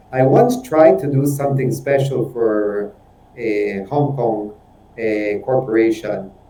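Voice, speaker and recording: At a very slow pace, a man speaks in a medium pitch with fairly even intonation, and room echo is audible. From Switzerland. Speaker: businessman. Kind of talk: webinar discussion.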